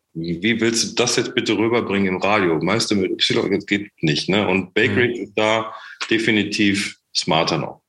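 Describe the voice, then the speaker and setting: This man has a plain, everyday voice, pitched fairly low, delivered at a moderate pace with fairly even intonation. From Germany, Sauerland (Menden). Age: 40s. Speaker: startup founder and managing director. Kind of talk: podcast interview.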